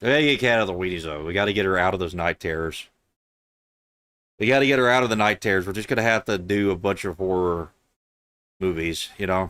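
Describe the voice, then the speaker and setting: A man with a very deep, low voice and a strong Southern US accent talks at a very fast pace with ordinary pitch variation, a bright, sharp tone and long, frequent pauses, on a very clean recording with a silent background. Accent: thick southern US. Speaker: video game streamer. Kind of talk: casual chat. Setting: live stream.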